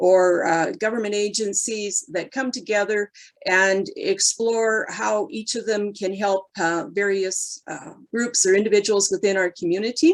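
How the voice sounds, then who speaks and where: A woman with a Canadian accent uses a normal speaking voice at medium pitch and a fairly slow pace. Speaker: mayoral candidate, deputy mayor. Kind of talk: candidate forum answer.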